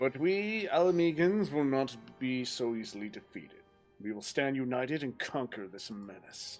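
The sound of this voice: A man puts on a gruff character voice at medium pitch and a moderate pace, with very wide pitch swings and big swings in loudness. Faint music plays in the background.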